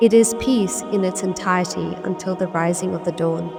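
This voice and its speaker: Over music in the background, a woman talks at a moderate pace and medium pitch with ordinary pitch variation. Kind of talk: scripture translation reading.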